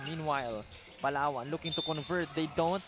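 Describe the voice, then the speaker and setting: Music plays in the background. A man with a high pitch talks in a Filipino accent. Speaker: basketball play-by-play commentator. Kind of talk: live sports commentary. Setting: live broadcast at a basketball venue.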